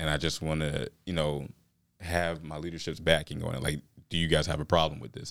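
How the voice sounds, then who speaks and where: Speaking with an American accent, a man has a very deep, low pitch. His pitch variation is ordinary. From US South, southwest Georgia. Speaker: military recruiter. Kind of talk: casual chat. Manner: calm.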